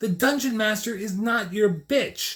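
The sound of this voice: A man's high-pitched voice, fairly bright in tone, at a fairly slow pace. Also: ordinary pitch variation.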